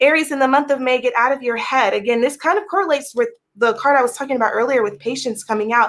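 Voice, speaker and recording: A woman's high-pitched voice at a very fast pace, with very even loudness and ordinary pitch variation. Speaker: tarot reader. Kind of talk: tarot reading.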